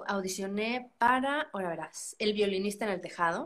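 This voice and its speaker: This woman has an ordinary speaking voice, pitched fairly high. She talks at a fairly slow pace with lively intonation. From Mexico, San Luis Potosí. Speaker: musical theatre actress. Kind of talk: casual interview.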